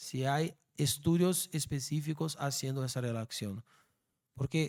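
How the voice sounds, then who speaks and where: With a Brazilian accent, a man talks at a fairly slow pace and ordinary pitch variation on a very clean recording with a silent background. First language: Portuguese (speaking Spanish). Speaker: law professor. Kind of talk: lecture Q&A. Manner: halting.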